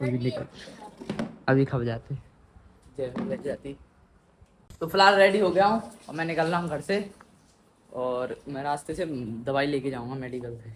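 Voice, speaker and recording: Lively intonation at a fairly slow pace, broken by long, frequent pauses, with noticeable background noise. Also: man, fairly high pitch for a man. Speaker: vlogger. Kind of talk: casual vlog. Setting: outdoors on a rooftop.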